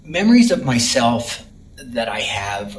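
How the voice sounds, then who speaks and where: There is audible room echo and noticeable background noise as a man with an American accent speaks at medium pitch with ordinary pitch variation. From Texas, Dallas. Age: 60s. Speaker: retired florist. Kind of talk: personal life story interview. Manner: halting, many fillers.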